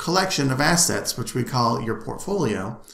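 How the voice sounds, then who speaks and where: A man talks at a moderate pace, his pitch varying in an ordinary way, and audible room echo hangs around his words. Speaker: instructor. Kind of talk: lecture. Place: home room. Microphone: webcam.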